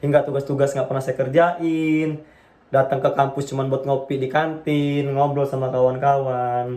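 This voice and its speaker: Monotone and flat, a man with a fairly high pitch speaks at a moderate pace. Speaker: university student. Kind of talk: class public speaking assignment, personal story. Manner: casual, some hesitations.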